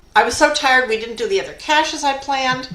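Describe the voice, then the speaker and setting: A woman speaks with a high pitch. Audible room echo surrounds her voice. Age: 70s. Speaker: geocacher. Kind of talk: casual chat.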